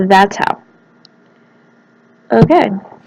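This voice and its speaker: A quiet woman at a very slow pace. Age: adult, works at a college. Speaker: gaming video creator. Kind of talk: let's play commentary. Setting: study room in a college library. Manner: quiet, holding voice down; animated.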